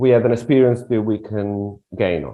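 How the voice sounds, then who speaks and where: A man with an Italian accent. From Italy (Rome). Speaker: relocation consultant. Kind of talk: interview. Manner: halting.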